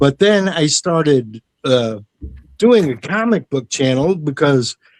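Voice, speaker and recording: A plain, everyday voice with lively intonation moves at a moderate pace. The sound is dry and close, with no echo. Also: man. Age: 60s. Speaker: retired music teacher, amateur artist. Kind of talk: casual chat.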